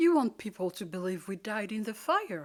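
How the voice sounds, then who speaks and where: Female-sounding put-on character voice at medium pitch and moderate pace. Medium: read story. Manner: anxious, questioning.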